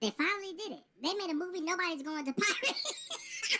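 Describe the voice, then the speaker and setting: A woman puts on a squeaky character voice, pitched extremely high, with very wide pitch swings. She talks at a fairly quick pace. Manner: mocking, sarcastic.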